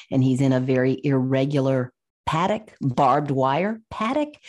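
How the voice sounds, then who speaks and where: Very deep and low in pitch, a woman talks at a fairly slow pace with an American accent. Her tone is dark and mellow, on a very clean recording with a silent background. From US South, Virginia. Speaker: animal sanctuary founder and author. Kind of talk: interview.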